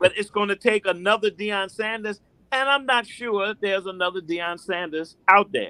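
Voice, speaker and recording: A man's raised, projected voice, high-pitched with a bright, sharp tone, fairly even intonation and a moderate pace, in a dry, close sound with no echo. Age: 60s. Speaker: sports commentator. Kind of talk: casual chat.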